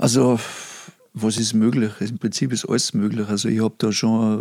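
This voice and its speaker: A man speaks at a medium pitch with a Salzburg accent. His intonation is monotone and flat. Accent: Pinzgau dialect, moderate. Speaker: recording studio owner. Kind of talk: casual chat. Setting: online call.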